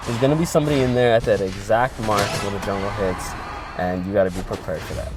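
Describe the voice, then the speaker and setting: Music plays in the background as a man talks. He has an American accent and speaks at a very fast pace. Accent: New York accent, comes and goes. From New York. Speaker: mobile gaming commentator. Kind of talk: gameplay voice-over commentary. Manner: halting, many fillers and repeated words.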